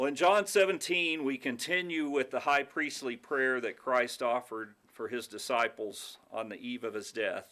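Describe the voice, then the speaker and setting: A man with an American accent speaks at a moderate pace in a bright, sharp tone. His pitch is fairly high, with ordinary variation. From Texas. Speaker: pastor. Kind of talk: communion devotion. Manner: halting, with many fillers.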